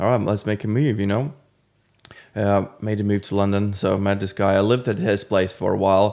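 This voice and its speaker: On a very clean recording with a silent background, the voice has a dark, mellow tone, fairly even intonation and a fairly quick pace. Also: man, fairly low pitch for a man. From Latvia. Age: 30s. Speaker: personal trainer. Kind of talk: casual chat.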